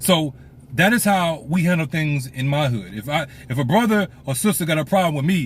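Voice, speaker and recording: A somewhat breathy man with a fairly high pitch, lively intonation and an American accent. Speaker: pastor. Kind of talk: casual monologue to camera. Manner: fast.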